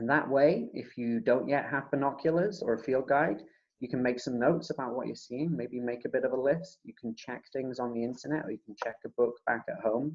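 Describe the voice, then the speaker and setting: A man speaks quietly at medium pitch with ordinary pitch variation. His pace is fairly quick, with hardly any pauses. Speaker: birding workshop facilitator. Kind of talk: online presentation. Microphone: laptop mic at max, too quiet.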